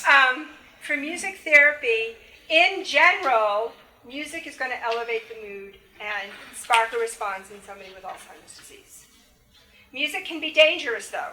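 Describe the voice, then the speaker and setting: Amid noticeable background noise and audible room echo, a woman projects her high voice at a moderate pace, with lively intonation and big swings in loudness. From New England. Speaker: music therapy professor. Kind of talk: lecture.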